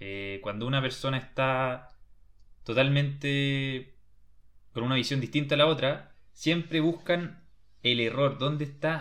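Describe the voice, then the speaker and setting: His voice is plain and everyday, pitched fairly high for a man. The man talks at a moderate pace with ordinary pitch variation. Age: 20s. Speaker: podcast host. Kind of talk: book discussion chat.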